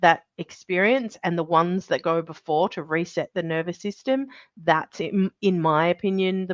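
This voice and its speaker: Against a quiet background, a woman with an Australian accent speaks at a moderate pace in a medium pitch with ordinary pitch variation, in a dry, close sound with no echo. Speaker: birth trauma specialist. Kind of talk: interview.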